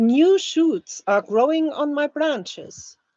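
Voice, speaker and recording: A woman's high-pitched voice with a German accent, very slow and full of lively intonation. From Germany. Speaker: language teacher. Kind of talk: reading aloud; live stream chat. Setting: live stream.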